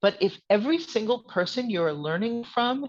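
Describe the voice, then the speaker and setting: A woman speaks with an American accent at a moderate pace. She has a plain, everyday voice. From US Northeast, New Jersey suburbs. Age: 60s. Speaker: author and witchcraft teacher. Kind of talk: podcast interview.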